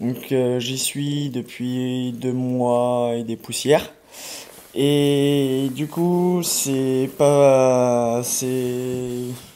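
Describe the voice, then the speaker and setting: A man with a medium pitch speaks very slowly and with fairly even intonation. Audible room echo and noticeable background noise surround him. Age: 20s. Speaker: homeless person. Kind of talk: testimony. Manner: halting.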